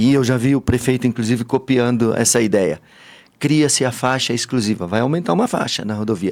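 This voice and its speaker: Ordinary pitch variation at a fairly quick pace. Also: man, medium pitch for a man. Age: 60s. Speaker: businessman and party politician. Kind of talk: interview. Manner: animated.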